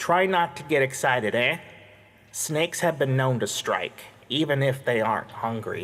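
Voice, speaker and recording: A man's nasal, put-on character voice at a medium pitch and moderate pace. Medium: read story.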